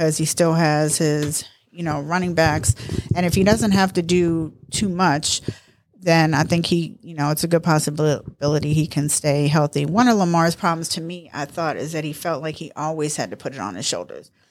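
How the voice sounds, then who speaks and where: With an American accent, a woman speaks at a moderate pace in a very deep, low pitch, her intonation fairly even but her loudness swinging widely. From US East Coast (New York and Baltimore). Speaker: host's mother, football fan. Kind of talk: casual chat.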